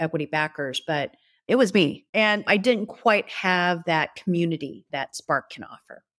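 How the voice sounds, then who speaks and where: On a very clean recording with a silent background and a dry, close sound with no echo, a woman with an American accent speaks in a plain, everyday voice at a fairly low pitch with ordinary pitch variation. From US South, Tennessee. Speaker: retail executive. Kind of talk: podcast interview.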